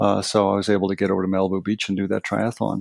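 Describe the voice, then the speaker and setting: A man speaks with a Canadian accent against a quiet background, the sound dry and close with no echo. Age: 60s. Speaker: meditation trainer and Buddhist chaplain. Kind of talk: podcast interview. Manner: hesitant, many fillers.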